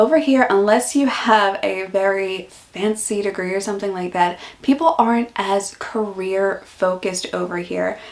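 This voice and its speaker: Amid noticeable background noise, a woman with an American accent speaks in a relaxed tone at a medium pitch and a moderate pace, with hardly any pauses. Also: ordinary pitch variation. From US Northeast, Philadelphia. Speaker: YouTuber and office worker. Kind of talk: casual vlog Q&A. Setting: home office. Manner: relaxed, chatty.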